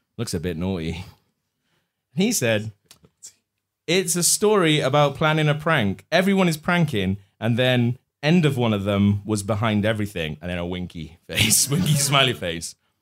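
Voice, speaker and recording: Using a British accent, a man at medium pitch speaks at a moderate pace with very wide pitch swings and long, frequent pauses. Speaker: comedy podcast host. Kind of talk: live comedy show banter. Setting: pub stage with live audience. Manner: animated.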